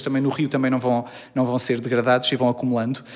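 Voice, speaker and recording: Very fast delivery in a monotone, flat intonation. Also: man. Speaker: chemical engineering researcher. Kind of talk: interview. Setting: university laboratory.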